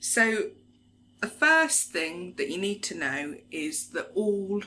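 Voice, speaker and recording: A woman speaks at a very slow pace with very wide pitch swings. Noticeable background noise runs underneath. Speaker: larp NPC crew member. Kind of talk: casual talk to camera, tutorial.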